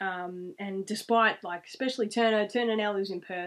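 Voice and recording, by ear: A woman at medium pitch, moderate pace, fairly bright tone and fairly even intonation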